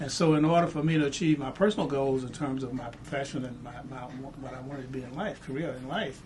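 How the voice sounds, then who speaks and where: A man's fairly high voice at a very fast pace with hardly any pauses, amid audible room echo and noticeable background noise. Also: ordinary pitch variation, big swings in loudness. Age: 70s. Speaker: civil rights veteran and museum founder. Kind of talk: interview. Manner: halting, repeats words.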